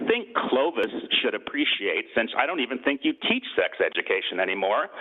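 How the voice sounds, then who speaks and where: A man talks over noticeable background noise. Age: 60s. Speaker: public commenter at city council meeting. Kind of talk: public comment speech. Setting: city council meeting.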